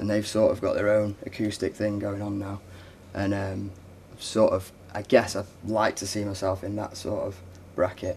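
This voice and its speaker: A man talks at a moderate pace with long, frequent pauses. His fairly low, somewhat breathy voice stays monotone and flat. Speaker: folk punk singer-songwriter. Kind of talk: interview.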